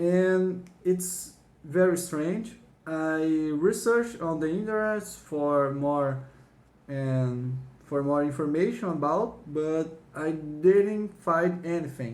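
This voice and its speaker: The pace is very slow. The speaker has a non-native accent. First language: not English. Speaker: YouTuber showing a found floppy disk. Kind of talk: casual video walkthrough; reading aloud. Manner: halting.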